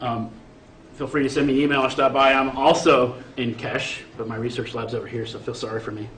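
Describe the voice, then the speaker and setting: At a fairly quick pace and with fairly even intonation, the voice carries audible room echo and noticeable background noise. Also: man, medium pitch for a man. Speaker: chemistry professor. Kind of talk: lecture. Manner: fast.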